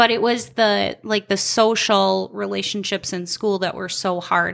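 A woman with an Upper Midwest accent speaks at a fairly slow pace. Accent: Upper Midwest American. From Minnesota (Albany). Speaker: recovering addict sharing her story. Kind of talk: testimony. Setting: in her home basement.

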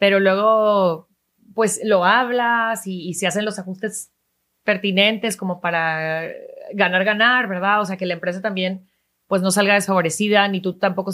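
A woman with an unremarkable speaking voice, medium pitch, fairly even intonation and a moderate pace. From Venezuela. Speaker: TV news presenter. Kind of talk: interview.

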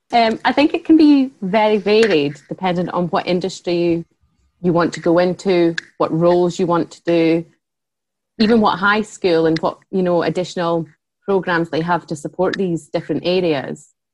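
A woman is speaking in a Scottish accent. Her pace is moderate. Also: fairly low pitch for a woman, ordinary pitch variation. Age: 30s. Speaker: head of customer relations at a tech company. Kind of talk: casual interview chat.

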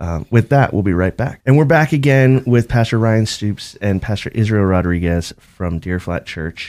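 A man with an American accent and an ordinary speaking voice talks at a moderate pace with hardly any pauses, his pitch fairly low and his intonation lively. The recording is very clean with a silent background. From Boston. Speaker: radio co-host. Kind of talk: talk radio.

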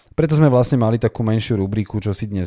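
A man is speaking. His tone is dark and mellow. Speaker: podcast co-host. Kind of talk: casual chat. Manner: fluent.

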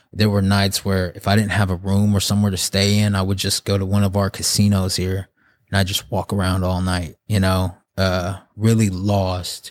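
In a monotone, flat delivery, a man with an American accent and a fairly low pitch comes through on a very clean recording with a silent background. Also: moderate pace. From Oklahoma and the Navajo reservation in Arizona. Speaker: photographer sharing his recovery and faith story. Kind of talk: testimony.

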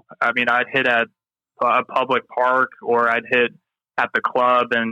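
A man's voice at a medium pitch. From Mississippi. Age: 20s. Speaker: tennis player and coach. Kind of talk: casual interview. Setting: phone call.

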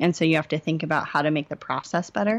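An unremarkable speaking voice belongs to a woman with an American accent and a fairly low pitch, heard against a quiet background. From Indiana. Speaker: nurse and healthcare consultant. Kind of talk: interview.

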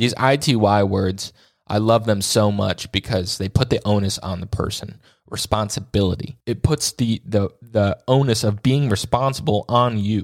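In a very clean recording with a silent background and a dry, close sound with no echo, a man uses an ordinary speaking voice with a fairly low pitch, ordinary pitch variation and a moderate pace. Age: 20s. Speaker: podcast host. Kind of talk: solo monologue. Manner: casual, with filler words.

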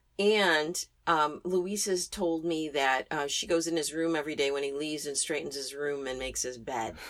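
With an American accent, a woman talks at a moderate pace. Her pitch is very deep and low. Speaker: podcast co-host. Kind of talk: casual chat.

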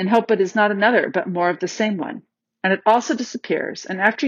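Unforced voice for reading, quiet background

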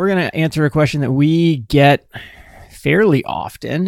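This man has a plain, everyday voice, fairly high in pitch with ordinary pitch variation, speaking at a moderate pace in a very clean recording with a silent background. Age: 40s. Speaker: financial planner, podcast co-host. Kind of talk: casual chat.

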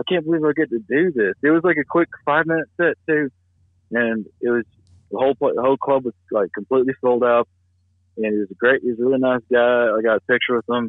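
A fairly quick-paced man's voice with a Southern US accent. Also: medium pitch for a man, ordinary pitch variation. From US South. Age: 30s. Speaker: comedian. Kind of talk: casual chat. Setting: phone call.

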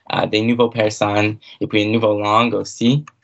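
This man speaks with an English accent. His intonation stays fairly even. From Cape Breton, Nova Scotia (Myra). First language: English (speaking French). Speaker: university student. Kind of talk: casual interview. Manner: halting, many fillers.

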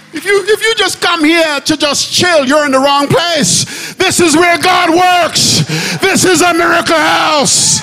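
A man shouts at an extremely high pitch, with ordinary pitch variation. Noticeable background noise runs underneath. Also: fairly slow pace. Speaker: pastor. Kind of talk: sermon. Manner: loud; animated.

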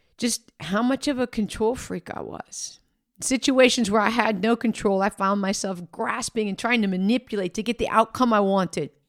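A woman speaks in a normal speaking voice at a fairly high pitch, with ordinary pitch variation and a moderate pace. The recording is very clean and dry, close and free of echo, with a silent background. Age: 50s. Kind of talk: faith podcast monologue, personal testimony.

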